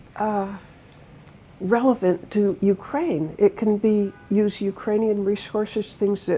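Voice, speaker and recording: A woman with an American accent has a fairly high pitch and a dark, mellow tone. Her voice is somewhat breathy, and she talks at a very slow pace. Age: 80s+. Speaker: author and humanitarian advocate. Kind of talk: interview conversation.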